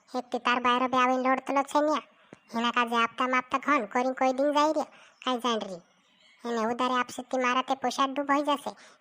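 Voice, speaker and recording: A woman puts on a cartoonish character voice pitched high. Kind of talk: comic village dialect. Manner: scolding, sharp-tongued.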